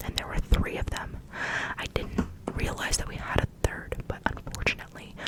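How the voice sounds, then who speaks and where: A woman whispers at a moderate pace while noticeable background noise carries on around her. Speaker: ASMR creator. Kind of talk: ASMR show-and-tell talk. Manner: whispered; repetitive phrasing.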